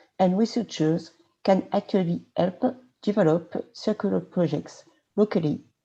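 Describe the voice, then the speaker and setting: With a French accent, a woman speaks at a moderate pace and medium pitch, her dark, mellow tone moving with ordinary pitch variation. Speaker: regional politician. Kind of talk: presentation.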